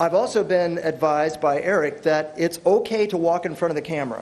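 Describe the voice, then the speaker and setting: A man with a fairly high voice talks over noticeable noise in the background. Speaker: workshop presenter. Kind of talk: workshop lecture. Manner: loud.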